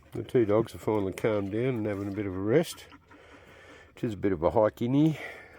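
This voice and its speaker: A man with an Australian accent speaks very fast in a dark, mellow tone, his fairly low pitch moving with ordinary variation. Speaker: amateur prospector and fossil hunter. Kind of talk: casual outdoor vlog narration. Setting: outdoors in the bush.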